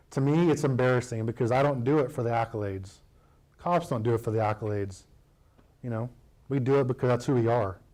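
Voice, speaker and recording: A man talks very fast with an American accent and ordinary pitch variation. His speech is broken by long, frequent pauses. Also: medium pitch for a man, very clean recording, silent background. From United States. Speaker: combat wounded war veteran speaker. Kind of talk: public speech with Q&A. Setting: chamber of commerce meeting, live audience. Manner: casual, conversational.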